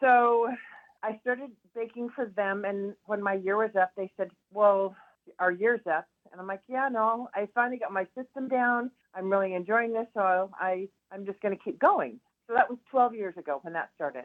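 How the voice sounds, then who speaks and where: A woman speaks at a moderate pace and medium pitch. Hers is an unremarkable speaking voice with ordinary pitch variation. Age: 60s. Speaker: hairdresser. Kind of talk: radio interview.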